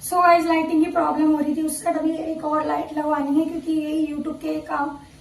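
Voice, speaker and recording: Room echo is audible around this woman's voice. She speaks at a moderate pace in a high pitch. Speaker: vlogger. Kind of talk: casual vlog talk. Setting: at home.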